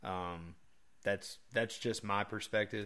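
A man talks at a fairly slow pace in an ordinary speaking voice. His pitch is fairly low, with ordinary pitch variation. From northern US East Coast. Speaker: hunting podcast co-host. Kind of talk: casual chat.

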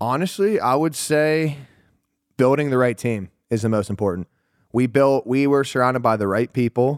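A plain, everyday voice with an American accent moves at a moderate pace with ordinary pitch variation and very even loudness, recorded very cleanly against a silent background with a dry, close sound and no echo. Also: man, medium pitch for a man. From Pittsburgh, Pennsylvania. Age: 20s. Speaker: entrepreneur. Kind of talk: casual chat.

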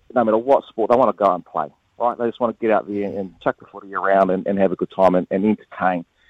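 Very fast speech from a man with a New Zealand accent and a fairly low pitch. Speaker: former international cricketer. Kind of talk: casual chat.

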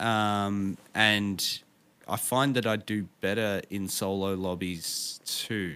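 In a bright, sharp tone and an Australian accent, a man with a fairly low pitch speaks at a very slow pace over a very clean recording with a silent background. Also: fairly even intonation. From Victoria, Australia. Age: 30s. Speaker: streamer and musician. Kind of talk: interview. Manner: halting.

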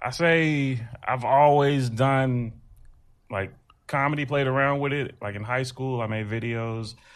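Medium-pitched male voice, a plain, everyday voice, fairly even intonation and a fairly slow pace. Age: 30s. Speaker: stand-up comedian. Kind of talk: casual interview chat.

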